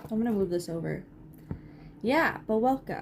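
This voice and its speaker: A woman talks with a fairly high pitch. Her pitch varies in an ordinary way over noticeable background noise. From Canada. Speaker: livestreamer crafting. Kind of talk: casual livestream chat while crocheting. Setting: live stream with chat.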